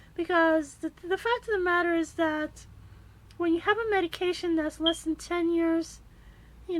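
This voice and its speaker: A squeaky woman's voice at extremely high pitch speaks at a moderate pace. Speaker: kidney patient vlogger. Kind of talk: personal testimony. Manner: halting, many fillers.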